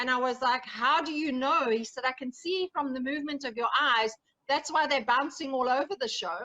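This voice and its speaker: A woman's raised, projected voice, high-pitched, bright and sharp, at a fairly quick pace with ordinary pitch variation. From South Africa, Eastern Cape and KwaZulu-Natal. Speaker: therapist. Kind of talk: interview.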